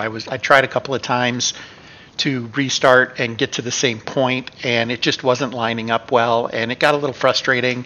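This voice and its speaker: A man's medium-pitched voice moves at a moderate pace with fairly even intonation, set against noticeable background noise. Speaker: gaming YouTuber. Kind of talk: casual vlog update.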